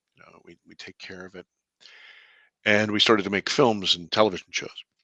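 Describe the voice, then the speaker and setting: A man's bright, sharp tone at a fairly quick pace, with fairly even intonation, big swings in loudness and a dry, close sound with no echo. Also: fairly low pitch for a man. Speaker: filmmaker. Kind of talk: interview storytelling.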